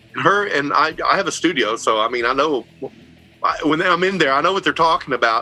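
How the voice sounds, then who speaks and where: Over music in the background, the speech moves at a fairly quick pace with lively intonation. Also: man, fairly high pitch for a man. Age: 60s. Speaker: metal guitarist and record label owner. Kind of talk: interview.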